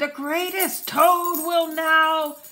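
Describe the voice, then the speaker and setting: A woman's put-on character voice, squeaky and extremely high in pitch, with monotone, flat intonation. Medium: read story. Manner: grand, announcing.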